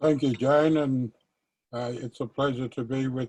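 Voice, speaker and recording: A man speaks with an Australian accent in a dark, mellow tone. His intonation is monotone and flat, and the sound is dry and close with no echo. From Australia, Northern Territory (Alice Springs). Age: 60s. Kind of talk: personal testimony. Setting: virtual conversation.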